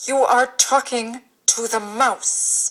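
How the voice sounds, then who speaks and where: A woman's put-on character voice, high-pitched and growling, in a monotone, flat delivery. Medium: stage play. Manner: prim, fussy.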